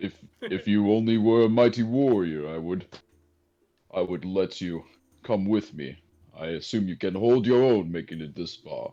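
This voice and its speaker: A man puts on a character voice at a fairly low pitch, speaking at a moderate pace. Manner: slow, deliberate.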